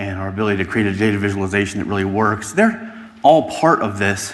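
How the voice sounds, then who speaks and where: A man with an American accent at a fairly quick pace, with audible room echo. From United States. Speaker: podcast host and analytics speaker. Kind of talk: conference presentation.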